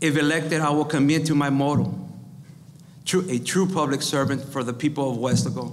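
Speaking at a fairly quick pace with an American accent, a man uses a fairly high pitch over light background noise. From Texas, Rio Grande Valley (Weslaco); Texas. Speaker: school district employee, mayoral candidate; candidate. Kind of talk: candidate forum statements. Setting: live event with audience. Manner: reading prepared text. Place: meeting room. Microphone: podium.

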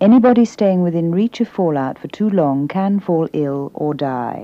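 A woman speaks at a fairly slow pace in a calm, stern tone, her fairly low pitch carried by lively intonation in a dry sound with no echo. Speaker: public information announcer. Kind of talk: 1970s public information film narration, scripted official instructions read aloud. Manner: calm, clear and reassuring yet stern, slow deliberate pacing. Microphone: old recording.

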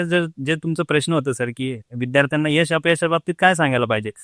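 A man talks in a plain, everyday voice with ordinary pitch variation. The recording is very clean, with a silent background and a dry, close sound with no echo. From Jalgaon district, Maharashtra, India. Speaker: government officer, former rickshaw driver. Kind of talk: interview.

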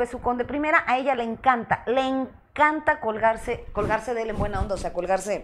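Hardly pausing, a woman with a Mexican accent talks at a fairly quick pace in a high pitch, her tone animated and her pitch variation ordinary. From Mexico. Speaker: sex therapist and show host; show host. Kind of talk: live-stream talk show. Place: studio.

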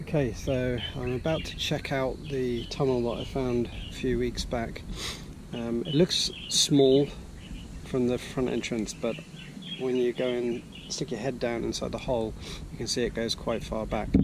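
With long, frequent pauses, a man speaks at a moderate pace and fairly even intonation in a dry sound with no echo, over noticeable background noise. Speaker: relic hunter vlogger. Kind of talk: casual vlog chat. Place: forest. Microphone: phone near.

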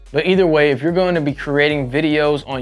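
A man speaks with fairly even intonation over faint background music. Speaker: presenter. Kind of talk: tutorial. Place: studio. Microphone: lapel.

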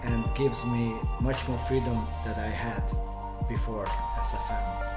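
Loud music plays behind a man who speaks at a fairly slow pace. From Hungary. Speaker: interview guest. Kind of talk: interview answer. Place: home room.

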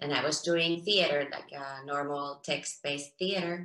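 The speaker has a Finnish accent and a fairly bright tone, moving at a moderate pace. Room echo is audible. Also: woman.

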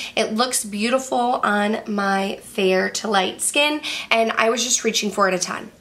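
The speaker moves at a fairly slow pace with ordinary pitch variation. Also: woman, fairly high pitch for a woman. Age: 30s. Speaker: beauty youtuber. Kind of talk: product review. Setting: bedroom. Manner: casual, chatty. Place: home room.

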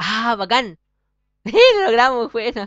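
A man speaks against a quiet background. The sound is dry with no echo. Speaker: gaming youtuber; gamer. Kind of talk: let's play gameplay commentary. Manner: fast; stumbles over words. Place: home room. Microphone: webcam.

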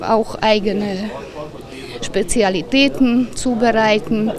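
A woman speaks at a fairly high pitch with ordinary pitch variation. Crowd noise can be heard behind her. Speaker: event organiser. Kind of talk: interview answer. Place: street. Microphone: handheld.

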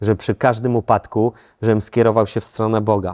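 A man's fairly low, dark, mellow voice in a monotone, flat intonation at a moderate pace, over a quiet background. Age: 30s. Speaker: actor. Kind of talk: testimony. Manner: halting.

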